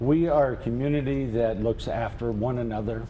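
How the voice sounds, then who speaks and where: Audible room echo surrounds this man's voice. He speaks at a medium pitch with ordinary pitch variation. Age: 60s. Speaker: mayor. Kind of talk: TV news interview. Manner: halting, many fillers.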